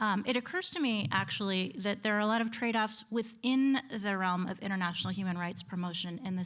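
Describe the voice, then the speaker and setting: A woman speaks in an American accent at a moderate pace, with ordinary pitch variation. The recording is very clean, with a silent background. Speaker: conference panelist, historian. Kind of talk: conference talk. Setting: lecture hall with audience. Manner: halting, many fillers.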